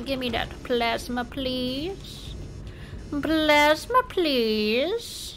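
Over clear background noise, a woman uses a put-on character voice pitched high and talks at a very slow pace. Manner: creepy, playful.

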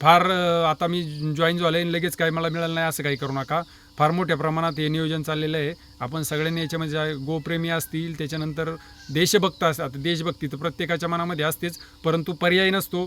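One man talks in a monotone, flat way at a fairly high pitch. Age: 40s. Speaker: natural farmer. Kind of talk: informal talk to camera.

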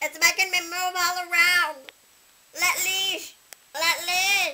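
A cartoonish character voice at an extremely high pitch moves along at a fairly slow pace. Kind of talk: comedic puppet sketch. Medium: puppet. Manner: excitable, indignant.

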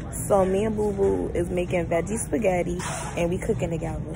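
Clear music can be heard in the background. Over it, a woman talks very fast. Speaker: vlogger. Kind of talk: casual vlog chat. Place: shop. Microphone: phone near.

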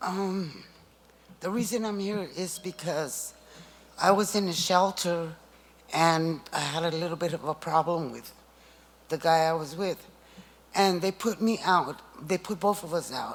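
A fairly slow pace broken by long, frequent pauses. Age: 60s. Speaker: homeless public commenter. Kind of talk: public comment. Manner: emotional, pleading.

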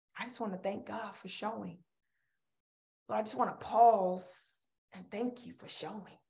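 A woman's dark, mellow voice with vocal fry, big swings in loudness, ordinary pitch variation and a moderate pace, against a quiet background. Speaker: preacher. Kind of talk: sermon and fervent prayer. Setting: virtual service online. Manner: fervent, exhortatory; animated. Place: home room. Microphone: webcam.

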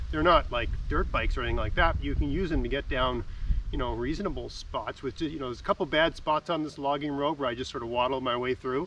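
Light background noise sits under a dry sound with no echo. A man speaks at a very fast pace. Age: 40s. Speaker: outdoors YouTuber. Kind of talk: vlog narration. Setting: outdoors, riding a scooter on a logging road. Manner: casual, with many fillers. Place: forest. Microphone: camera far.

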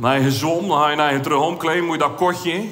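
Over light background noise, a man with a fairly high pitch talks at a moderate pace with ordinary pitch variation. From Zeeland, Netherlands. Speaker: amateur cabaret comedian. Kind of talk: stand-up comedy routine. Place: stage. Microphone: headset.

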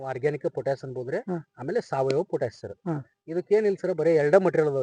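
A man with a fairly high pitch speaks in a dark, mellow tone with lively intonation. His loudness swings widely, and the sound is dry and close with no echo. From India, Belagavi district, northern Karnataka (Savadatti taluk). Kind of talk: interview.

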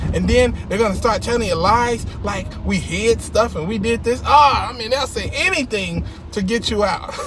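Amid noticeable background noise, a man speaks at a moderate pace with hardly any pauses. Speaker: comedian and ex-Jehovah's Witness video host. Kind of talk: stand-up style comedic rant, casual and conversational with jokes and sarcasm. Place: car. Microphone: phone near.

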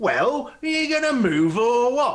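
Using a put-on character voice, a man speaks at an extremely high pitch. He moves at a fairly slow pace with big pitch swings.

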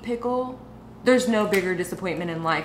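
A woman's voice comes with light background noise and audible room echo. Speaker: food vlogger. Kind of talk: casual vlog chat. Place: kitchen.

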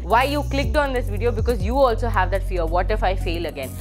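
A woman talks at a fairly quick pace with clear music playing in the background. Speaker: exam coaching teacher. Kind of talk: motivational talk to students. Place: studio. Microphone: lapel.

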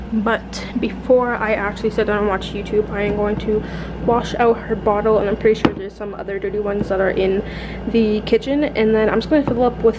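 The speaker talks at a fairly quick pace with fairly even intonation. Noticeable background noise is present. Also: woman. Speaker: mother vlogger. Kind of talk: casual vlog chat. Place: home room. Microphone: phone near.

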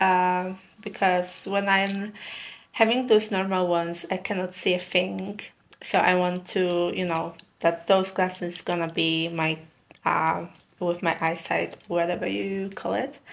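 Speaking at a fairly slow pace, a woman keeps her intonation fairly even. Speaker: vlogger. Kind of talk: casual vlog chat. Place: home room.

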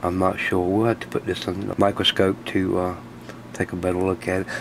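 Over noticeable background noise, a man talks at a moderate pace in a very deep, low voice. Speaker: radio hobbyist video host. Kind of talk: casual tutorial, tear down demonstration. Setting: workshop, shop. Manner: casual, chatty, filler words.

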